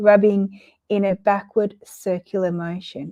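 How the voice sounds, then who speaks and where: Woman with a dark, mellow tone, fairly high in pitch, with fairly even intonation. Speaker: counsellor hosting monthly Q&A livestream. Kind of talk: guided breathing exercise; casual Q&A chat. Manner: hesitant, with fillers.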